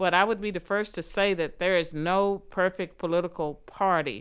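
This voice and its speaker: Medium-pitched female speech in a Southern US accent, moderate pace and fairly even intonation, very clean recording with a silent background. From US South. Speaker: political scientist and author. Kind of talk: interview.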